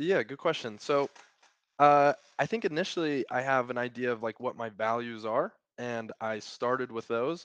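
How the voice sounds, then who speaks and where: A man with a Utah accent speaks at a medium pitch and moderate pace, with ordinary pitch variation. The sound is dry and close with no echo, against a quiet background. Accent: American (Utah). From Utah, US. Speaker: operations consultant. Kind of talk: casual chat.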